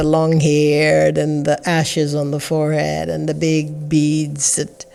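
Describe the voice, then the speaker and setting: Over music in the background, a woman with a very deep, low pitch speaks at a fairly slow pace in a monotone, flat intonation. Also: hardly any pauses. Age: 60s. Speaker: spiritual teacher and podcast host. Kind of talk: reflective spiritual talk. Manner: halting.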